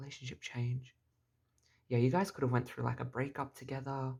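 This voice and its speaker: This is a man with a medium-pitched voice. He sounds somewhat breathy and talks at a fairly quick pace. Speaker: tarot reader. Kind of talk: tarot reading. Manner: halting.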